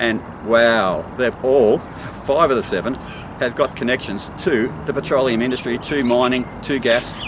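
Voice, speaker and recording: Over noticeable background noise, a man with an Australian accent speaks at a medium pitch with ordinary pitch variation. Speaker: local political candidate. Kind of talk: political monologue to camera. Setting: outdoors. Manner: fast; animated.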